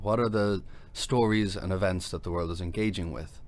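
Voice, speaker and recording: With a Dublin accent, a man speaks at a fairly quick pace. His pitch is fairly low. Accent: Dublin Irish. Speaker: tech company CEO, former lawyer. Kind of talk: podcast interview.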